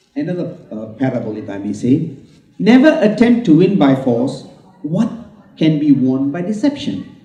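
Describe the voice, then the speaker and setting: Audible room echo surrounds a man speaking at a moderate pace. His loudness swings a lot, and his pitch swings very widely. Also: fairly high pitch for a man. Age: 70s. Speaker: book launch speaker. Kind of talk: speech at book launch.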